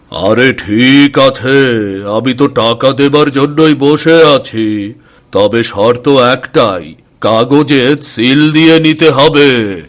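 A man's cartoonish character voice at medium pitch, fairly slow pace and very even loudness. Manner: smug, condescending.

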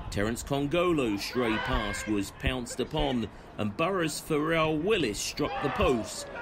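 A man talks at a fairly slow pace in a fairly high pitch, with very wide pitch swings. Noticeable background noise runs underneath. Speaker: club highlights commentator. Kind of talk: sports commentary, match highlights voiceover. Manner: brisk, energetic.

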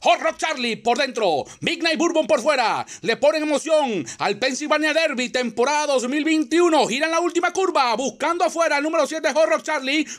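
Extremely high-pitched for a man, his voice shows ordinary pitch variation. He holds a moderate pace with hardly any pauses. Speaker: horse race caller. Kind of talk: live horse race commentary, call escalating toward the finish. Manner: formal, announcer-style delivery with crisp rhythmic phrasing.

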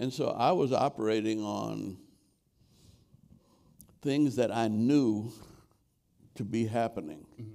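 A man talks fairly slowly, his tone dark and mellow. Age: 80s+. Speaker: former mayor and civil rights leader; former mayor. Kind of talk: interview answer. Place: stage.

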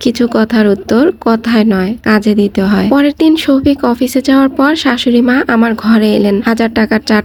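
A voice reading naturally, pitch varying by the usual amount

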